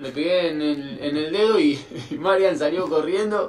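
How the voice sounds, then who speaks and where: The man speaking has lively intonation. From Argentina. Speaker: guest's brother; guest. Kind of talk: recorded video message. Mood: amused childhood anecdote. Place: home room. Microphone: video call.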